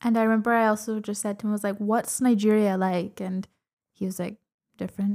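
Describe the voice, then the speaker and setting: A woman speaks at a very fast pace in a flat monotone. Her voice is fairly high in pitch with a dark, mellow tone. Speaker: podcast guest. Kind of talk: casual chat.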